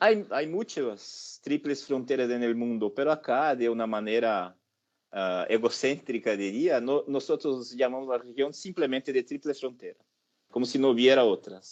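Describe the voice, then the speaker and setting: A man with a Brazilian accent speaks at a fairly slow pace and a medium pitch. His pitch variation is ordinary, and the background is quiet. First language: Portuguese (speaking Spanish). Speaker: professor. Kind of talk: lecture. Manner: hesitant, with fillers.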